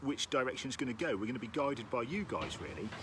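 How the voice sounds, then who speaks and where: A man with a Norfolk accent, upbeat and animated in tone, somewhat breathy. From Norfolk, East Anglia, England. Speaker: orchestral timpanist and rhythm workshop leader. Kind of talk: live-streamed interactive music workshop. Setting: outdoors in a garden, live stream. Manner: upbeat and animated, with frequent fillers.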